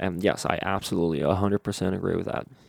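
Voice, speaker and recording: A man with a very deep, low voice and vocal fry speaks with ordinary pitch variation, the sound dry and close with no echo on a very clean recording with a silent background. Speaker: solo podcaster. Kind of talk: solo monologue podcast. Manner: hesitant, many fillers.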